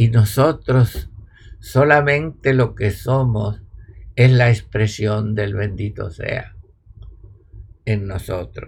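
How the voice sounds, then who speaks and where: Very slow and somewhat breathy, a man with a fairly low pitch speaks with long, frequent pauses. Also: ordinary pitch variation. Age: 80s+. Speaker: spiritual teacher. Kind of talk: spiritual talk; online live stream.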